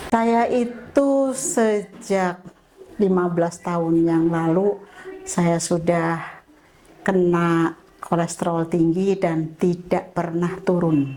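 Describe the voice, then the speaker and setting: Over noticeable background noise, the speaker goes at a very slow pace with very even loudness and ordinary pitch variation. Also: woman, fairly low pitch for a woman. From Indonesia, Tegal (Central Java). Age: 60s. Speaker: health camp participant. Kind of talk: testimony.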